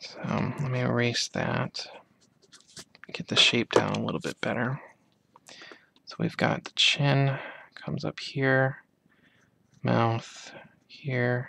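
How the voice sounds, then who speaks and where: A man whispering, soft-spoken, at a very slow pace, with long, frequent pauses and big swings in loudness. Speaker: amateur artist. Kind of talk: ASMR soft-spoken drawing tutorial. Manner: soft-spoken, whispery.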